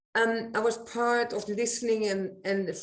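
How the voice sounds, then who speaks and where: A woman with a Dutch accent speaks at a fairly slow pace amid audible room echo. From Netherlands. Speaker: eco-village resident. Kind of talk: panel discussion. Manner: halting.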